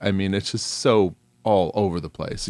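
A man's very deep, low voice with an American accent, at a fairly quick pace. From New York. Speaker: podcast co-host. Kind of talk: casual chat. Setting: remote recording.

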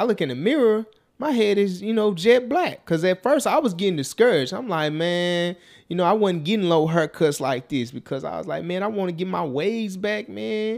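The pitch swings very widely at a moderate pace. The recording is very clean, with a silent background. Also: man. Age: 30s. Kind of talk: motivational monologue. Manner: casual, conversational.

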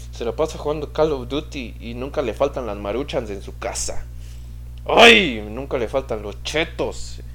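Over noticeable background noise, a man talks at a fairly slow pace. His loudness swings widely. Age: 20s. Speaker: podcast host. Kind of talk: casual monologue. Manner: halting.

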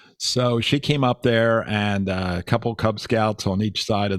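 In a very clean recording with a silent background, a man with an American accent uses an ordinary speaking voice, fairly low in pitch, with fairly even intonation at a moderate pace. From Pennsylvania, Chester County. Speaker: retired electrical engineer and ham radio operator. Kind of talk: casual interview over radio.

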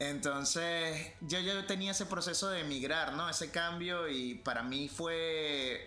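Over music in the background and with audible room echo, the voice moves at a very slow pace and very even loudness, with hardly any pauses and ordinary pitch variation. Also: man, high pitch for a man. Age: 30s. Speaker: podcast guest, host's older brother. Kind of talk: casual chat.

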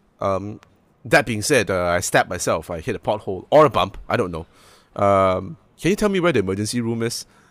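A man speaks at a fairly quick pace with very wide pitch swings, on a very clean recording with a silent background. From Malaysia. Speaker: podcast co-host. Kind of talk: casual chat.

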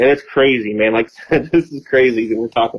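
With ordinary pitch variation, a man speaks at a medium pitch in an unremarkable speaking voice. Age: 40s. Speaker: deer hunter and land manager. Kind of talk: casual chat.

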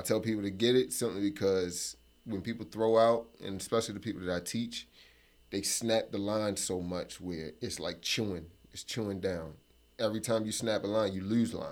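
A man's normal speaking voice with an American accent, fairly low pitch, moderate pace and ordinary pitch variation, in a very clean recording with a silent background. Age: 20s. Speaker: fishing instructor and business owner. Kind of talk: interview. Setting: studio.

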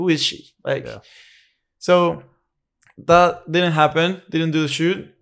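This man speaks very slowly, with long, frequent pauses, in a high pitch and a flat, monotone delivery. The recording is very clean, with a silent background. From Mexico, Querétaro. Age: 20s. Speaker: fashion photographer. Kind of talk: casual chat.

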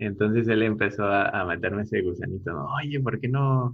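At a moderate pace, a man speaks somewhat breathily with a fairly low pitch and ordinary pitch variation. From Mexico, Puebla. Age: 30s. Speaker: architect. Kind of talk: interview. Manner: halting, with many repeated words.

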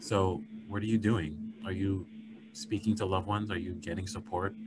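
A somewhat breathy voice with an American accent and ordinary pitch variation. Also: man. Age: 30s. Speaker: psychologist and podcast host. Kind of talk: casual chat.

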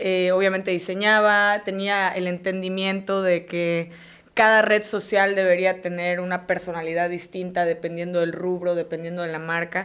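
In a very clean recording with a silent background, a woman of medium pitch speaks at a moderate pace with monotone, flat intonation. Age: 30s. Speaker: agency CEO and graphic designer. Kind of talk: casual interview. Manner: halting.

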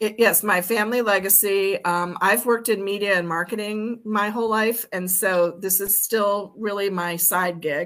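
With an American accent, a woman talks at a moderate pace in a medium pitch, her intonation fairly even and hardly any pauses between words. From US, Maryland. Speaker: beer brand owner and blogger. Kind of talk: interview. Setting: live-streamed podcast.

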